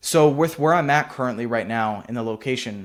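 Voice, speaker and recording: A man with a plain, everyday voice and an American accent, medium pitch, fairly even intonation and a fairly quick pace, on a very clean recording with a silent background. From US Pacific Northwest, near Seattle. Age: young. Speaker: entrepreneur YouTuber. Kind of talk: casual vlog monologue. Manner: casual, filler-heavy.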